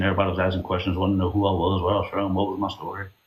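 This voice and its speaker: This man's voice is fairly low in pitch and somewhat breathy. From Louisiana Cajun country. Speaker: social media live streamer. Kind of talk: casual interview chat on a live stream. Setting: live stream.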